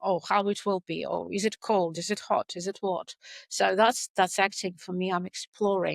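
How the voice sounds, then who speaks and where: The sound is dry and close, with no echo. A woman speaks with monotone, flat intonation. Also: very clean recording, silent background. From Russia. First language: Russian. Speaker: actress. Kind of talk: interview.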